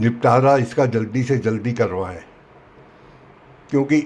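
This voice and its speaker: The man's voice is somewhat breathy, and his pitch moves in an ordinary way. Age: 70s. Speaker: senior citizen investor making an appeal. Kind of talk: public appeal statement. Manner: formal.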